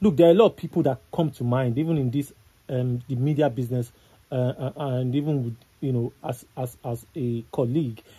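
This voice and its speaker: At a moderate pace, a man with a medium pitch and a dark, mellow, somewhat breathy tone speaks with ordinary pitch variation. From Nigeria. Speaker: entertainment news analyst. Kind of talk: casual chat. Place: studio. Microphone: studio mic.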